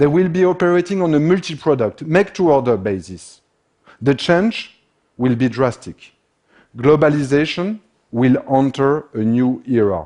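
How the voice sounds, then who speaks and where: A man's fairly high, dark and mellow voice with a French accent, very wide pitch swings and a moderate pace. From France. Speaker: business consultant. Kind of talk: conference talk.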